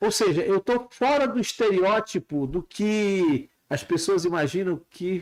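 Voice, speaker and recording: A man with a high voice and lively intonation, very even loudness, a fairly slow pace with hardly any pauses, on a very clean recording with a silent background. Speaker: university rector and candidate. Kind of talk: casual chat.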